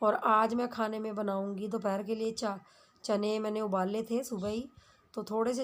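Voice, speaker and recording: Delivery is monotone and flat, unfolding at a fairly slow pace. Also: woman. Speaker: family vlogger. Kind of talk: vlog narration.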